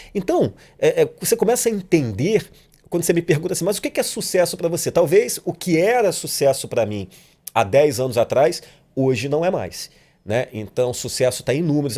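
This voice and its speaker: A man's dark, mellow voice with vocal fry, fairly quick in pace and very wide in pitch swings, in a very clean recording with a silent background. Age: 40s. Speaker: actor and director. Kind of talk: casual chat. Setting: studio.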